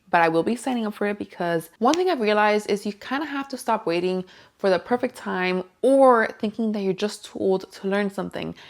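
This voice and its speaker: On a very clean recording with a silent background, a woman speaks at a medium pitch. Her pace is fairly quick, with ordinary pitch variation. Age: 20s. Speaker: lifestyle vlogger. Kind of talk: casual vlog talk to camera. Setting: home, kids in background. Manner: chatty, conversational.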